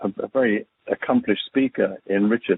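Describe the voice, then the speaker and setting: A fairly quick pace in an English accent. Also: man. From England, farming area north of London. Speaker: retired business executive and cancer survivor. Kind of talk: talk on a conference call. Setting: conference call.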